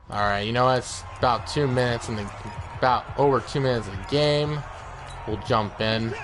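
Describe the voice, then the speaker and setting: A man at medium pitch with an American accent and a fairly quick pace, music in the background. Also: ordinary pitch variation. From Washington state, US. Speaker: gaming streamer. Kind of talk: gameplay commentary. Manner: loud, excitable.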